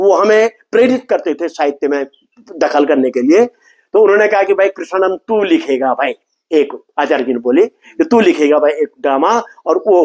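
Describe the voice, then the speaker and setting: With a dry, close sound and no echo, a man speaks in a high pitch with very wide pitch swings. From Garhwal, Uttarakhand (Kedar valley, near Guptkashi). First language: Garhwali (speaking Hindi). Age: 60s. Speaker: folk culture artist and playwright. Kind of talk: interview. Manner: mix of Hindi and Garhwali.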